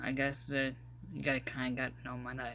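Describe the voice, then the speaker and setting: A man is speaking. His pace is moderate. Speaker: podcast host. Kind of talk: casual vlog-style podcast monologue. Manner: hesitant, many fillers.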